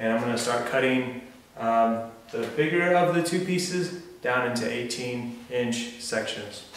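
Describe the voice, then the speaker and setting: A man speaking at a fairly slow pace, with light background noise and audible room echo. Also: ordinary pitch variation. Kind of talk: tutorial. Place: garage. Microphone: camera far.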